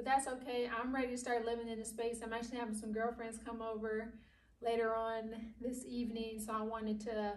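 A woman speaks at a high pitch. Her pace is fairly quick. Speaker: home DIY vlogger. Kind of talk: casual vlog chat. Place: empty room. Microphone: camera far.

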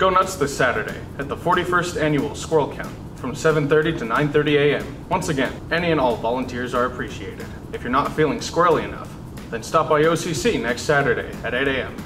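A man's voice at a moderate pace with ordinary pitch variation, music in the background. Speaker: student news anchor. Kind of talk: news announcements with jokes. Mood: dry deadpan humor. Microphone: lapel.

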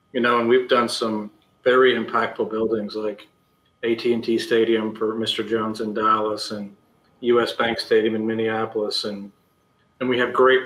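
Monotone, flat intonation marks a man speaking with an American accent amid audible room echo. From Iowa, US Midwest. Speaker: architect; guest. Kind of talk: interview. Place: home room. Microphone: video call.

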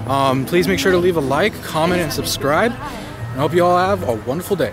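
With clear music in the background, a man with a high pitch talks at a fairly quick pace in a dry sound with no echo. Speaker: vlogger. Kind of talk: casual vlog chat. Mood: cheerful, relaxed. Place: street. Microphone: phone near.

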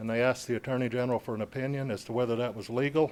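Very clean recording, silent background, a man at medium pitch with a slight Southern US accent. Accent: sounds a little southern. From downstate Michigan. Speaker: military veteran, public commenter. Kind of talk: public comment at city meeting. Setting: city commission meeting hall.

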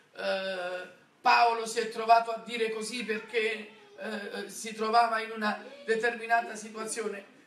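A man's bright, sharp voice at a fairly slow pace, with audible room echo. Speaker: preacher. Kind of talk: sermon. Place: church. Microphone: camera far.

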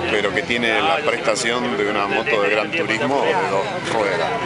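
A man speaks at a moderate pace. Loud background noise runs under a dry sound with no echo. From Argentina (Tandil, Buenos Aires province). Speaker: Italian consul and motorcycle traveler. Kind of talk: interview. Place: open country.

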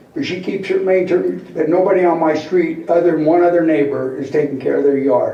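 A man with an American accent talks at a moderate pace. The room echo is audible and the background noise is noticeable. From Utah, West Valley City area. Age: 70s. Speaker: resident speaking at public comment. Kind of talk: public comment at city council meeting. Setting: city council meeting chamber. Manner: agitated.

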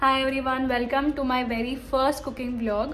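Over light background noise, a woman talks at a moderate pace in a high-pitched voice. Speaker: vlogger. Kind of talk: casual vlog chat. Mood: cheerful, warm. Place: home room. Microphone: phone near.

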